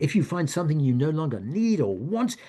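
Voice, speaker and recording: A man with an American accent speaks at a fairly high pitch with lively intonation over a quiet background. His tone is dark and mellow, and his voice is somewhat breathy. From United States. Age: 70s. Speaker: author and retired professor giving a wellness talk. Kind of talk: talk. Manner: halting, with frequent repetitions.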